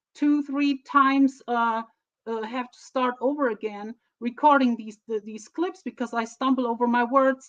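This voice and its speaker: With a German accent, a woman speaks at a high pitch with fairly even intonation. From Germany. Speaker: streamer. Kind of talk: casual live stream talk. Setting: live stream on camera. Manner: halting.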